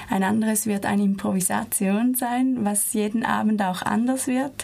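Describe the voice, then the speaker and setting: A woman with a normal speaking voice talks at a fairly slow pace, her medium pitch carried by fairly even intonation. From Switzerland. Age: 20s. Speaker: dance student. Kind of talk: radio interview. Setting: studio.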